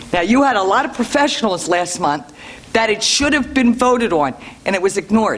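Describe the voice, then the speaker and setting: Noticeable background noise fills in behind talking delivered at a fairly quick pace. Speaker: public commenter at school board meeting. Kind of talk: public comment. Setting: meeting room with microphone. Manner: loud; forceful.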